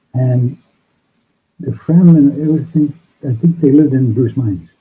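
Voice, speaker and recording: In an ordinary speaking voice, a man talks at a moderate pace with fairly high pitch and ordinary pitch variation. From Canada, Sault Ste. Marie, Ontario. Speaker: band guitarist and songwriter. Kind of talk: casual interview. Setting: video call.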